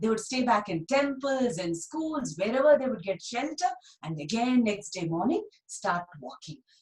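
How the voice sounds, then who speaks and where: A high-pitched woman talks at a moderate pace, her pitch swinging very widely and her loudness rising and falling sharply. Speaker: storyteller. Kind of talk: storytelling for children. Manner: animated, acts out character dialogue.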